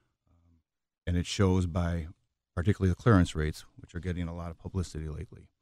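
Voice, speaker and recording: Very fast and monotone, a man with an American accent speaks in a very deep, low pitch and a dark, mellow tone, the sound dry and close with no echo on a very clean recording with a silent background. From Chicago. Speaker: mayoral candidate, attorney. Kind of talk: radio interview. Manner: hesitant with frequent fillers.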